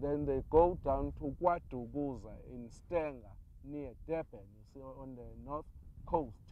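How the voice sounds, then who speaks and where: A man with a Zulu accent, fairly slow and fairly even in intonation, in a dry sound with no echo and light background noise. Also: fairly high pitch for a man. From South Africa, Zulu. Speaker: interviewee telling oral history. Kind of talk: interview commentary. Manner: halting, repetitive, sincere. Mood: calm, earnest storytelling. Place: open country.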